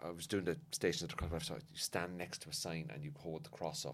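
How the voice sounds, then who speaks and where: A man with a Cork accent talks with very wide pitch swings. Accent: Cork Irish. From Cork, Ireland. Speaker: comedian. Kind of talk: casual chat.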